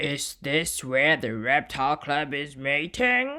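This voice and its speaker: The speaker uses a raspy, put-on character voice at a low-to-middle pitch and a fairly slow pace. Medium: read story.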